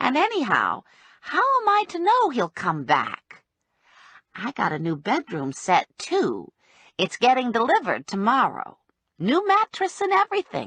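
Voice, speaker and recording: Using a put-on character voice, a woman speaks at a high pitch and moderate pace in a dry, close sound with no echo. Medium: read story. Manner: matter-of-fact, plainspoken.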